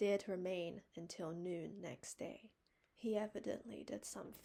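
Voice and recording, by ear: Intonation holds fairly even. The reading aloud is done in a natural voice.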